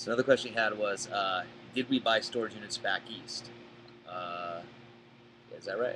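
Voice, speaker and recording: Through noticeable background noise, a man speaks at medium pitch and a moderate pace with fairly even intonation, long and frequent pauses, and big swings in loudness. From Boston area, Massachusetts. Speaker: storage auction buyer. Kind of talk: live Q&A. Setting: live stream.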